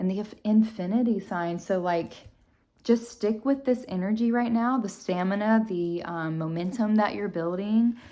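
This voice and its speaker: A soft-spoken woman's dark, mellow voice at medium pitch and a moderate pace, with ordinary pitch variation. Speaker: tarot reader. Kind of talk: tarot reading for viewers. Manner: hesitant, many fillers.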